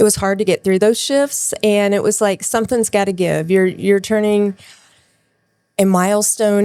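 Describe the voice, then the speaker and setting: A woman speaks at a moderate pace with fairly even intonation in a plain, everyday voice. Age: 60s. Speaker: nurse. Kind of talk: interview.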